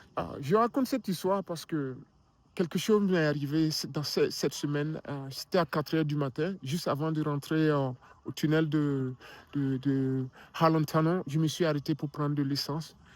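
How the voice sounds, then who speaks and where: In an African accent, a man with a fairly high voice is heard on a very clean recording with a silent background. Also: ordinary pitch variation, moderate pace. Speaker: filmmaker and motivational vlogger. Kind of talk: motivational vlog talk. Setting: outdoors in a park, winter. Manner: hesitant, repeats words.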